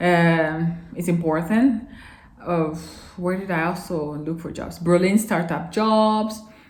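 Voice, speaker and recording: A woman's fairly low voice with a non-native accent, ordinary pitch variation and audible room echo. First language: not English. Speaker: vlogger. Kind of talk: casual advice vlog. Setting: filming alone to camera. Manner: halting at times.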